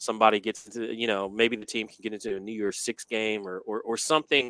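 At a fairly quick pace, a man with a medium pitch speaks in a bright, sharp tone with fairly even intonation. The sound is dry and close, with no echo. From Memphis, Tennessee. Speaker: sports radio host and program director. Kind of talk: casual sports talk interview.

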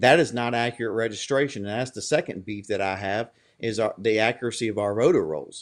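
Speaking at a fairly quick pace with a Louisiana accent, a man uses a medium pitch and ordinary pitch variation. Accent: rural Louisiana Southern American. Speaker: political candidate and grocery business owner. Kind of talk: interview.

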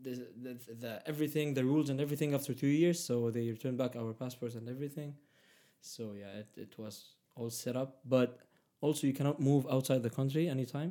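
This man has a dark, mellow tone at a medium pitch with ordinary pitch variation. He talks at a fairly quick pace. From Egypt. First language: Arabic. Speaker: immigrant sharing life story. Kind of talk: casual interview. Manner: halting, many fillers.

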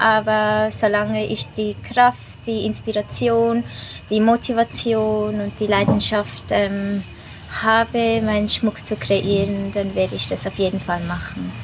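A woman talks very slowly, and noticeable background noise can be heard. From Switzerland. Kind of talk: casual interview.

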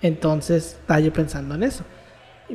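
Spoken at a moderate pace with a Mexican accent. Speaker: university student, podcast host. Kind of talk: casual chat.

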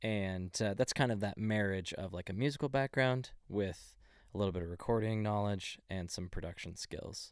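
A man with an American accent speaks in a plain, everyday voice at a moderate pace, fairly low in pitch with ordinary pitch variation. The recording is very clean, with a silent background. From Texas, Dallas area. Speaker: music producer and audio engineer. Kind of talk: interview.

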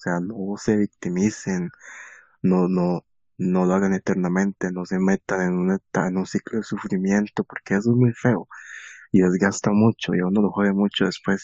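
Delivered at a moderate pace in a Costa Rican accent, the speech has a monotone, flat intonation. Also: man, very deep, low pitch for a man. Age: 20s. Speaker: podcast host. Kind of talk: casual chat.

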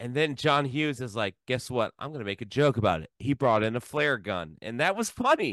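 In a dry, close sound with no echo, a man with an American accent and an unremarkable speaking voice talks at medium pitch and a fairly quick pace, with lively intonation and hardly any pauses. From US Midwest (Columbus, Ohio). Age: 40s. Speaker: film podcast co-host. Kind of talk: casual chat.

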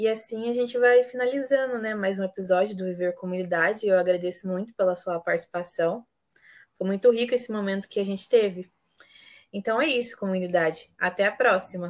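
A woman speaks in a plain, everyday voice at a medium pitch and a fairly quick pace. Her pitch varies in an ordinary way on a very clean recording with a silent background. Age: 20s. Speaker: podcast host. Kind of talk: interview.

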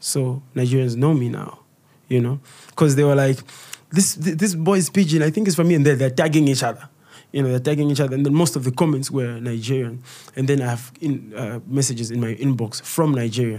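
This man's voice sits at a medium pitch with ordinary pitch variation and a dark, mellow tone. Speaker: comedian and content creator. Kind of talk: casual interview.

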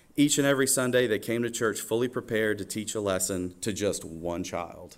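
With a Southern US accent, a man talks at a fairly quick pace. His pitch is fairly low. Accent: Southern US (Georgia). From US South, Georgia (Oconee County). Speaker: church worship leader. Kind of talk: testimony. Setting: church stage with congregation.

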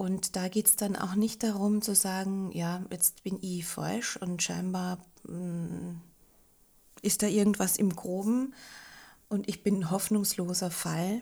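In a very clean recording with a silent background, a woman speaks at a very slow pace in a somewhat breathy, dark, mellow tone with fairly even intonation. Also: medium pitch for a woman. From Austria, Linz. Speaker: hypnotherapist. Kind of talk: casual interview.

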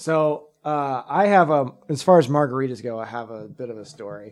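Speaking with an American accent, a man uses an ordinary speaking voice at a fairly slow pace with ordinary pitch variation. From Texas. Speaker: podcast co-host. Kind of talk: casual chat.

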